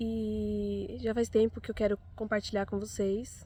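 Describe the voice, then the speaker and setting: A woman speaks at a fairly slow pace. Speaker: mother sharing personal story. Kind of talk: personal testimony.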